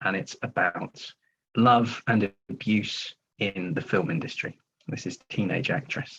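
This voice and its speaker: Speaking in an English accent, a man keeps a fairly slow pace and a fairly low pitch with ordinary pitch variation. The sound is dry and close, with no echo. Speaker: writer and filmmaker. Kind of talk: reading aloud. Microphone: Wi-Fi issues.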